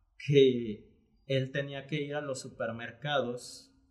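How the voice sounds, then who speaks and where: A man speaks at a fairly high pitch. His voice sounds somewhat breathy. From Panama, then Guadalajara, Mexico. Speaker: graphic artist and entrepreneur. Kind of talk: casual interview conversation.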